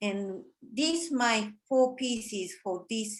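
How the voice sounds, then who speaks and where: Speaking at a very slow pace, a woman with a Japanese accent uses a fairly high pitch. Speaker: artist. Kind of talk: artist talk presentation. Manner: halting.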